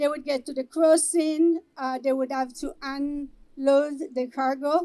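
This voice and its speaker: A woman's high, dark and mellow voice with fairly even intonation and an Israeli accent. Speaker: activist organizer. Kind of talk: speech at a vigil.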